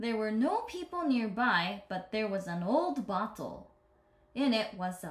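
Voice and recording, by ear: Natural-voiced reading aloud.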